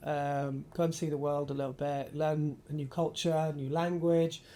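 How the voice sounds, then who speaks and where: This man speaks with a northern English accent. His tone is dark and mellow. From Yorkshire, northern England (Bradford). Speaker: architecture photographer. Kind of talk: casual interview chat.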